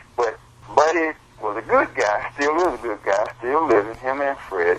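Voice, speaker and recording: Someone with an American accent speaks at a moderate pace with lively intonation, over noticeable background noise. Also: man, medium pitch for a man. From US South, Columbia, South Carolina. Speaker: blues musician. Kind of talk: interview storytelling.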